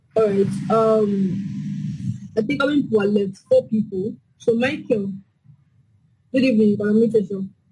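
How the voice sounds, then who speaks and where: Music plays in the background as a woman speaks at medium pitch and a moderate pace. Her pitch varies in an ordinary way, with long, frequent pauses. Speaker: forex trading teacher. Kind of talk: online class Q&A. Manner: soft-spoken.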